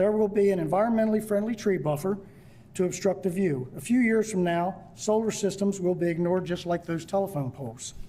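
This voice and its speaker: Fairly quick, high-pitched speech from a man with an American accent, a dark, mellow tone and ordinary pitch variation. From Delaware, US (Kent County). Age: 70s. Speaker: landowner applicant, farmer. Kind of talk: prepared public hearing statement. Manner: reading from prepared text.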